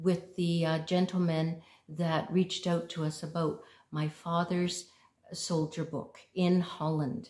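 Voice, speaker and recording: A woman's fairly low, somewhat breathy voice in audible room echo against a quiet background. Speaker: home vlogger. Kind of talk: casual vlog chat. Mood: warm, gentle. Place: home room. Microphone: phone near.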